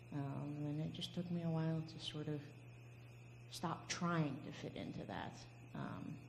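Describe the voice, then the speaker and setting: In a room with audible echo, a woman speaks with a very deep, low pitch and monotone, flat intonation. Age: 20s. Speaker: panelist. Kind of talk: testimony.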